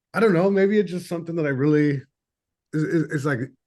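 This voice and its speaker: A man speaks with a Spanish accent and ordinary pitch variation. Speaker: comedian. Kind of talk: interview. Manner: halting, many repeated words.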